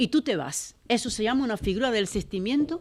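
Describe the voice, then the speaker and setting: The background is silent and the recording very clean. Her speed is moderate as the woman talks. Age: 60s. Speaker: domestic worker and labor activist. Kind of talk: panel talk. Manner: animated.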